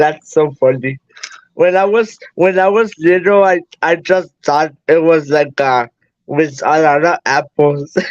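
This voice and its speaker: A man with a Spanish accent speaks at a very slow pace, his loudness very even, in a dry, close recording with no echo. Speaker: guest on live stream. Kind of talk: casual chat. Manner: halting.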